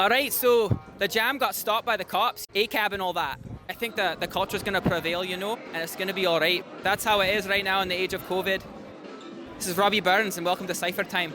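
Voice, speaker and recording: A man talks at a very fast pace in a raised, projected voice with a Scottish accent. His pitch is high, his intonation fairly even, and music plays in the background. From Scotland. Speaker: rapper and interviewer. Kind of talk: casual interview.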